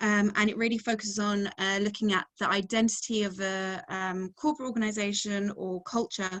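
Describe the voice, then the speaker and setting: In an English accent, a woman speaks at medium pitch with fairly even intonation. Her pace is moderate and the background is quiet. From England. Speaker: researcher and webinar moderator. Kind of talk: webinar self-introduction. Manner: hesitant, many fillers.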